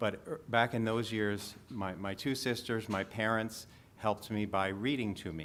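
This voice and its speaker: A man speaks in a normal speaking voice at a fairly slow pace. His pitch is fairly low, with ordinary variation. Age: 60s. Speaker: patient panelist with vision loss. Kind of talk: panel talk to audience.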